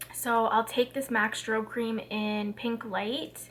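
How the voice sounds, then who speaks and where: With noticeable background noise behind her, a woman speaks at a fairly high pitch with monotone, flat intonation. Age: 20s. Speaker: registered nurse and beauty vlogger. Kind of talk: casual chat while doing makeup. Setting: sitting in front of a camera at home.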